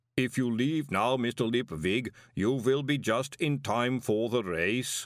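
This man uses a rumbling, put-on character voice at a medium pitch and a fairly slow pace. The recording is very clean, with a silent background.

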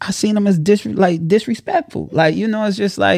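The man's delivery moves at a very fast pace. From Chicago, South Side. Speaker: entrepreneur and content creator. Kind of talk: casual interview. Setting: studio. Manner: preacher-like delivery.

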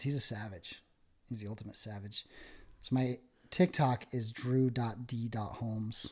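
A man with an American accent speaks at a medium pitch, somewhat breathy and with fairly even intonation. The recording is very clean, the background silent. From Utah, northern (Clearfield/Hooper area). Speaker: salesman, former prisoner. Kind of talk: casual interview, life story.

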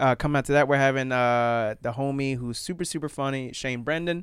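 In a very clean recording with a silent background, the speaker talks with an American accent. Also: man. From Florida. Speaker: stand-up comedian. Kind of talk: casual chat. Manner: animated.

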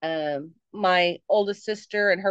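A woman talks at a medium pitch with ordinary pitch variation and a normal speaking voice. The sound is dry and close, with no echo. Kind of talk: quick comic shout-out in a horror podcast intro.

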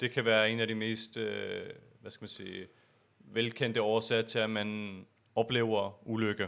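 A man speaks at a fairly slow pace in a monotone with flat intonation, his loudness swinging widely. The recording is very clean with a silent background. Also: medium pitch for a man. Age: 20s. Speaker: podcast host, IT security consultant. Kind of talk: casual chat. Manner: halting, many filler sounds.

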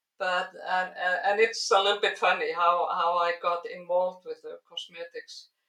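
A woman with an Icelandic accent speaks at a moderate pace with hardly any pauses and big swings in loudness. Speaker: biologist and skincare founder. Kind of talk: interview. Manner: hesitant with fillers.

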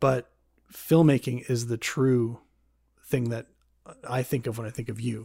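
A man speaks at a medium pitch in a flat monotone, his tone dark, mellow and somewhat breathy. He moves at a fairly slow pace with long, frequent pauses. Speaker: podcast host and filmmaker. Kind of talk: casual interview.

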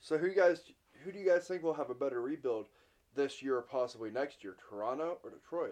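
The speaker talks at a fairly quick pace with an unremarkable speaking voice. Intonation is lively, and loudness swings widely. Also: man, fairly high pitch for a man. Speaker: hockey podcast co-host. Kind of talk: casual chat.

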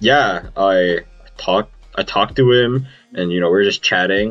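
A man with a very deep, low pitch, a moderate pace and ordinary pitch variation. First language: Vietnamese. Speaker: podcast host. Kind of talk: casual chat. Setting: video call. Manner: casual, profane and laughing.

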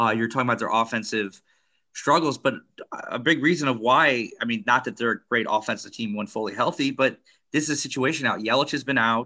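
Talking at a very fast pace, a man has a bright, sharp tone and ordinary pitch variation. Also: quiet background. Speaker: sports podcast co-host. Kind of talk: casual chat.

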